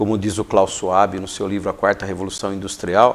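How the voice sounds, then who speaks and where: A man speaks at a fairly low pitch. Noticeable background noise runs under his voice. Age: 60s. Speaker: educator and coach. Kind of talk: interview.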